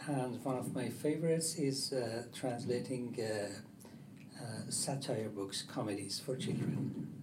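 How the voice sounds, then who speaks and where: Speaking at a fairly slow pace, a man with a Persian accent has medium pitch and ordinary pitch variation. Noticeable background noise and audible room echo surround him. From Iran. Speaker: publisher and translator. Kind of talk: panel discussion. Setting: stage with audience at book fair.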